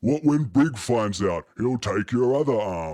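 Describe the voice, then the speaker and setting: At a fairly slow pace, a man delivers a gruff, put-on character voice. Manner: gruff, threatening.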